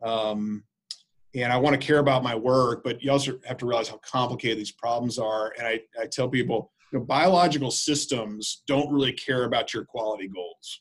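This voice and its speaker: A man with a plain, everyday voice talks at a fairly quick pace, his pitch medium and his intonation fairly even. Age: 40s. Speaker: infectious disease physician and healthcare quality executive. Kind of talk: interview conversation.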